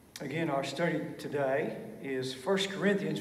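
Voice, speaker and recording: Audible room echo surrounds a man speaking at a moderate pace with ordinary pitch variation. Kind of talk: sermon. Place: church. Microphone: podium.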